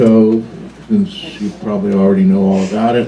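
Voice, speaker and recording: A man with an American accent speaks at a medium pitch with ordinary pitch variation, amid noticeable background noise and audible room echo. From US Pacific Northwest, Washington. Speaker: museum docent. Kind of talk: public talk to a live audience. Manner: casual, with fillers.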